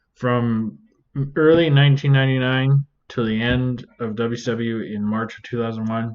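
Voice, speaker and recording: Moderately paced with fairly even intonation, this is a plain, everyday voice. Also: man. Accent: Canadian. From Canada. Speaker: reaction video creator. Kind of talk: casual commentary.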